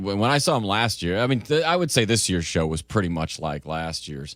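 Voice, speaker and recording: In an ordinary speaking voice, a man talks at a fairly low pitch with lively intonation on a very clean recording with a silent background. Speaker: radio morning show host. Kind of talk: casual radio show banter.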